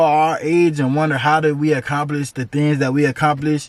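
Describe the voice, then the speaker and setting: A man speaks with an American accent in a normal speaking voice. His pitch is fairly high. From Florida (Tampa). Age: 20s. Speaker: entrepreneur YouTuber. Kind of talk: casual vlog storytelling. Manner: casual, filler-heavy.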